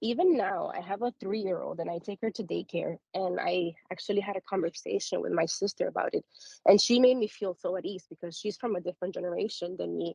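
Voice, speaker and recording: A woman speaks at a fairly quick pace in a slight Spanish accent. The sound is dry and close, with no echo. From Dominican Republic, moved to US at seven. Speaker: discussion participant. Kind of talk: casual group discussion.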